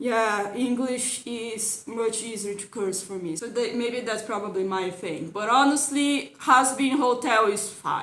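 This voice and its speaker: A woman with a non-native accent speaks with hardly any pauses, her pitch fairly high with ordinary variation. Audible room echo surrounds her voice. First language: not English. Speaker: YouTube cartoon commentator. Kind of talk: casual video commentary. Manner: hesitant, repeats words.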